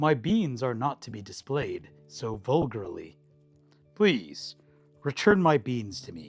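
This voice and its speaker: A man's raised, projected put-on character voice at medium pitch, fairly slow pace and long, frequent pauses, with faint music in the background. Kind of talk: formal, stuffy. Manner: prim, indignant.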